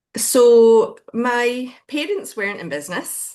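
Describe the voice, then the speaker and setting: A woman with a Glaswegian accent speaks at a very slow pace. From Scotland, Glasgow. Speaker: business founder. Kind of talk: podcast interview. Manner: hesitant fillers.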